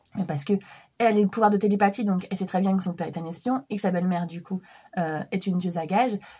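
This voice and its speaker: A woman's somewhat breathy, dark, mellow voice at a medium pitch and a very fast pace, with ordinary pitch variation, in a very clean recording with a silent background. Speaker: book vlogger. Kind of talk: casual vlog book review. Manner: hesitant, many fillers.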